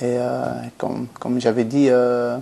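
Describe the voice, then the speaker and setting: In a monotone, flat intonation, a man talks at medium pitch with a dark, mellow tone. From Belgium, Antwerp. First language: Flemish (Dutch) (speaking French). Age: 20s. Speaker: professional footballer. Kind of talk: interview. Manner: halting.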